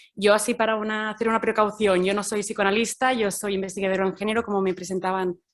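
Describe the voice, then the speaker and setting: A woman speaks with a Catalan accent. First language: Catalan (speaking Spanish). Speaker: gender researcher. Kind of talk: academic talk. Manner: halting, many fillers.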